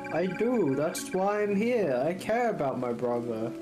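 A put-on character voice at a middle pitch goes at a moderate pace over loud music in the background.

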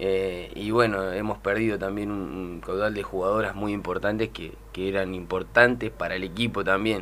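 Fairly low in pitch, a man speaks in a monotone, flat way at a moderate pace with hardly any pauses. Light background noise runs underneath. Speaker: women's football coach. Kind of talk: radio interview. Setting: studio. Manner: halting. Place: studio.

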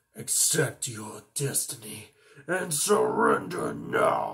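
A man puts on a raspy character voice. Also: very slow pace.

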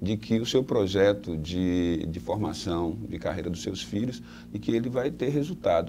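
A man speaks at a moderate pace in a fairly low voice with very wide pitch swings, over light background noise. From Salvador, Bahia, Brazil; Bahia, Brazil. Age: 40s. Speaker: mayoral candidate; candidate. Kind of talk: interview. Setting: on a bus. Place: studio.

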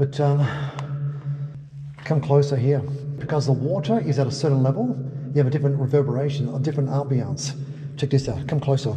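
The speech runs at a very fast pace with monotone, flat intonation. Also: man. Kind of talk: casual vlog chat. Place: tunnel cave.

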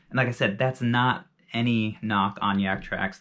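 The man's voice is fairly low, with a fairly bright tone. His intonation stays fairly even.

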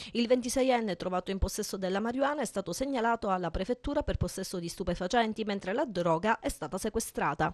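Very fast, lively speech from a woman at a fairly high pitch, dry and close with no echo. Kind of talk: newsreading. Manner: formal; brisk, even and impersonal, like a local TV news bulletin.

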